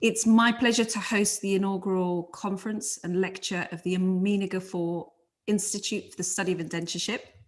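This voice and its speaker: In a London accent, a woman speaks at a moderate pace with a medium-pitched, somewhat breathy voice, ordinary pitch variation, and a quiet background. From London, England. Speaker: conference convener. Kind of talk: opening remarks.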